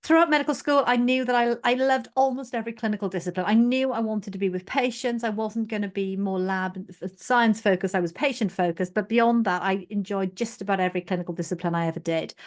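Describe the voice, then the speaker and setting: A woman with a Welsh accent at a very fast pace, hardly any pauses, ordinary pitch variation and a quiet background. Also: medium pitch for a woman. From South Wales, former mining village. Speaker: general practitioner and medical leader. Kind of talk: podcast interview.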